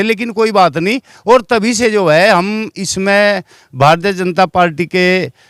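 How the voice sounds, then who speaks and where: A man pitched high for a man is heard dry and close with no echo, on a very clean recording against a silent background. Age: 60s. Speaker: community member, political supporter. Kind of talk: interview. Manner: halting.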